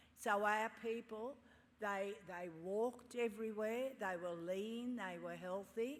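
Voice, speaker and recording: A woman's fairly high voice with ordinary pitch variation, a fairly slow pace and audible room echo. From Sydney, Australia (La Perouse). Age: 70s. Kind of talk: ceremonial speech. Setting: stage with audience at graduation ceremony.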